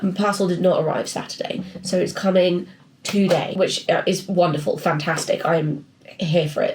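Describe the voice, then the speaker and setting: A woman speaks with an English accent. Noticeable background noise is present. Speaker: artist and illustrator vlogger. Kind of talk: casual vlog chat. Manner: chatty, rambling.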